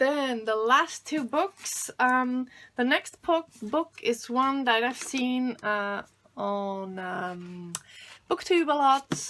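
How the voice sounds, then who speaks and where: A woman with a German accent speaks at a very slow pace, her high pitch, bright, sharp tone and lively intonation all standing out. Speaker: booktuber. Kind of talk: casual chat. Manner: halting.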